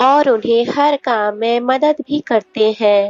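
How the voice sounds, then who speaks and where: A woman's high-pitched voice with ordinary pitch variation, dry and close with no echo. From Odisha, India. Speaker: movie recap narrator. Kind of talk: movie plot summary voiceover.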